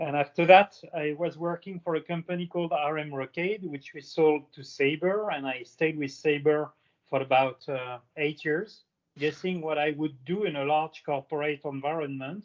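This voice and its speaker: A man talks at a moderate pace with a fairly high pitch. His intonation is fairly even. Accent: French. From France. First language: French. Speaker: aviation industry panelist. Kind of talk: panel discussion.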